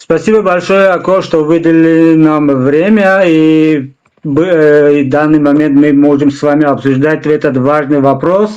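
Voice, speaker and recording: A man talks with a Tajikistan accent at a fairly slow pace. His pitch is fairly high and his intonation fairly even. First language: Tajik (speaking Russian). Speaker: interview show host. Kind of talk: interview. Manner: halting, many fillers.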